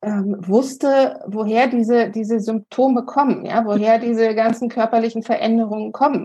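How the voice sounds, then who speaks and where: A woman's fairly high, somewhat breathy voice with a dark, mellow tone, very even loudness and a moderate pace. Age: 40s. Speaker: health coach, congress organizer. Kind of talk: casual interview chat.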